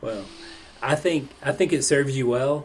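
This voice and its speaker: A man speaks with an East Tennessee accent. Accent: East Tennessee Southern. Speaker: podcast host. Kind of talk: casual podcast interview.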